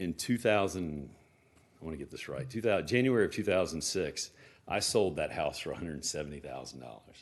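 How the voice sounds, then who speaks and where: A man with an American accent, very deep and low, with vocal fry, at a fairly quick pace, with very wide pitch swings and big swings in loudness, over a quiet background. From Smyrna, Georgia, US South. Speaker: resident speaking at public comment. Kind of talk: public comment at council meeting. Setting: city council meeting. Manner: fast.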